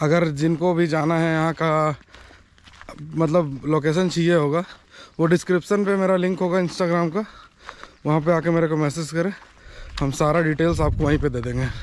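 The speech runs at a moderate pace with long, frequent pauses and fairly even intonation. The sound is dry with no echo, over light background noise. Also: man. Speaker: travel vlogger. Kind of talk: casual vlog chat. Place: waterside. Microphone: phone near.

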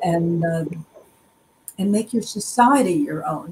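Against light background noise, a woman talks at a very slow pace with ordinary pitch variation. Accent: American. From US, child of German refugees. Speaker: journalist and professor; journalist, professor. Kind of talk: interview. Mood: reflective, earnest. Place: home room.

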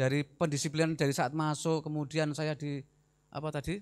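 A man with a Javanese accent talks at a fairly quick pace in a fairly high pitch, against a quiet background. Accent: Javanese-accented Indonesian. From Central Java, Semarang (Gunung Pati); Central Java, Indonesia. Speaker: army officer; guest. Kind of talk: lecture. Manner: animated. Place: hall. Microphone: handheld.

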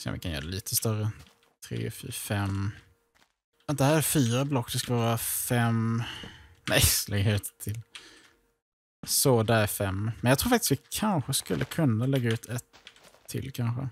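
Medium-pitched male speech at a moderate pace, ordinary pitch variation, long, frequent pauses, and a dry, close sound with no echo. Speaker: gaming YouTuber. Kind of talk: casual gameplay commentary. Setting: voice chat while gaming.

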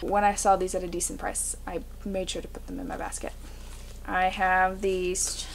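A woman at a moderate pace with light background noise. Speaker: thrift reseller. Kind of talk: casual vlog chat. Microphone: camera far.

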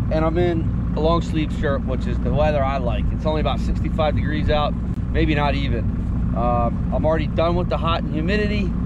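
Loud background noise surrounds a man speaking at a fairly quick pace. The sound itself is dry, with no echo. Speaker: fishing vlogger. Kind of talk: casual vlog chat. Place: boat. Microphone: phone near.

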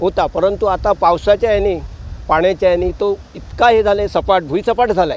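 This man speaks with a high pitch. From Nagaon, Alibag, Raigad (Konkan). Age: 70s. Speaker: villager. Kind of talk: vox pop interview. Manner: halting.

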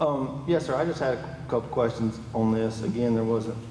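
Amid noticeable background noise and audible room echo, a man with a Florida accent speaks at medium pitch and a fairly quick pace, with fairly even intonation. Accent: US South (Florida). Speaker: county commissioner. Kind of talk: public meeting discussion. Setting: public meeting hall with PA speakers. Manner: soft-spoken. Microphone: far from the mic.

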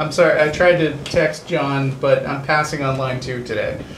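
A man talks with fairly even intonation. Audible room echo and light background noise can be heard. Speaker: show host. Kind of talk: talk show discussion. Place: studio. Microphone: lapel.

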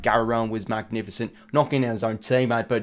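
Fairly even intonation and a fairly quick pace from a man. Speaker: sports commentary vlogger. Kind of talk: commentary. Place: home room.

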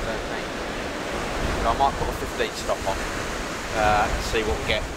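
A man talks over loud background noise, the sound dry with no echo. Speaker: photography vlogger. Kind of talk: casual vlog chat. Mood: relaxed, chatty. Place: beach. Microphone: camera far.

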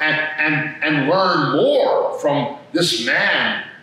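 A man at a very slow pace, in a strong room echo. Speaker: priest. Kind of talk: sermon. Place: church. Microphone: podium.

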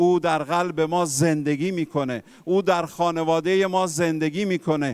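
Speaking at a fairly slow pace, a man with an Armenian accent has a fairly high voice. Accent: Armenian-accented Persian. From Armenian community in Iran. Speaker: visiting preacher. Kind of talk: sermon. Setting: church.

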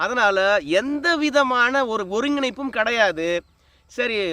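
A man's extremely high, bright and sharp voice, raised and projected, with ordinary pitch variation, on a very clean recording with a silent background. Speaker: political commentary YouTuber. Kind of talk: political commentary monologue.

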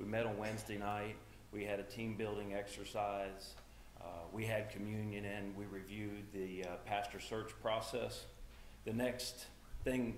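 This man talks in a fairly low, flat monotone at a moderate pace. There's audible room echo and light background noise. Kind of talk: church announcements. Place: church. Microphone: camera far.

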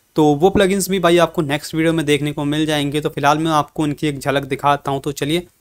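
A man's fairly high voice in monotone, flat intonation, moderate pace with hardly any pauses, against a quiet background. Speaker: tech youtuber. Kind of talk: tutorial. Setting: home pc setup. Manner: casual, informal. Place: home room.

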